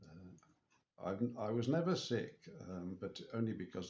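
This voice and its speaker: A man with an English accent. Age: 60s. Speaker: spiritual vlogger. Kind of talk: personal video diary. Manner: halting.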